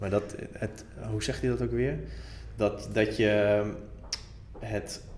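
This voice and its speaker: A man with a fairly low pitch talks at a very slow pace, leaving long, frequent pauses. Noticeable background noise is present. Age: 30s. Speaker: author and blogger. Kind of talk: casual chat.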